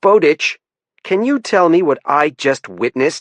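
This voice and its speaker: Putting on a gruff character voice, a man speaks at a high pitch and a moderate pace, with very wide pitch swings. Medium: read story. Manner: dry, no-nonsense.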